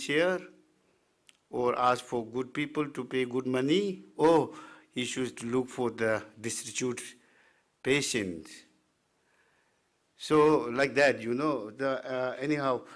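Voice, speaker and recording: On a very clean recording with a silent background, a man with a Tibetan accent talks at a fairly slow pace in a medium pitch, using ordinary pitch variation and long, frequent pauses. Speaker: Tibetan medicine physician and teacher. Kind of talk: presentation. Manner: halting, many fillers.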